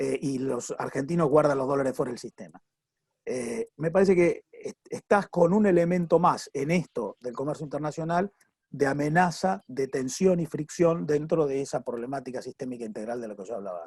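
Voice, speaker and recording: Fairly high pitch from a man at a moderate pace, with lively intonation, big swings in loudness and a dry, close sound with no echo. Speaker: economist. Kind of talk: panel discussion. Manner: halting.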